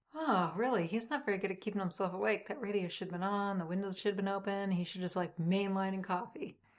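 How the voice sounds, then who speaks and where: Talking very fast with hardly any pauses, a woman uses a medium pitch and ordinary pitch variation. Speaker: podcast co-host. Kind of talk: casual banter and commentary on a story. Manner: dry, exasperated, wisecracking.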